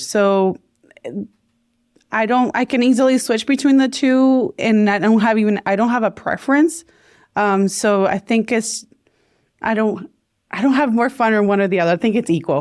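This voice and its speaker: A woman speaks in a Puerto Rican accent, fairly high in pitch with ordinary pitch variation. She leaves long, frequent pauses, and the recording is very clean with a silent background. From Puerto Rico. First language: Spanish. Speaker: podcaster and video coach. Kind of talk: casual chat. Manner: fast.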